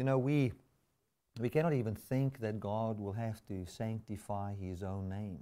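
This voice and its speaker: A man with a non-native accent speaks at a medium pitch with ordinary pitch variation and a dark, mellow tone. The recording is very clean, with a silent background. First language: not English. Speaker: pastor. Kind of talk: sermon. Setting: live webcast.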